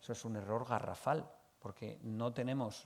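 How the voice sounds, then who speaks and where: Recorded very cleanly against a silent background, a man speaks at a medium pitch with fairly even intonation. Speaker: accounting expert, conference speaker. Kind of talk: conference talk. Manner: fast; hesitant, many fillers.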